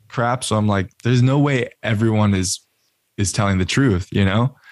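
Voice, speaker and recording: A man speaks in a normal speaking voice with an American accent, at medium pitch and a moderate pace, his intonation fairly even. The recording is very clean and dry, close with no echo, over a silent background. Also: very even loudness. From Austin, Texas. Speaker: marketer, podcast host and musician. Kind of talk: casual interview chat.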